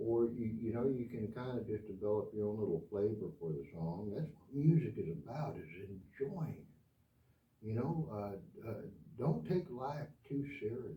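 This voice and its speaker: An American-accented man at medium pitch, with very wide pitch swings. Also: moderate pace. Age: 70s. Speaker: guitar teacher. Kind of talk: tutorial. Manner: casual, hesitant.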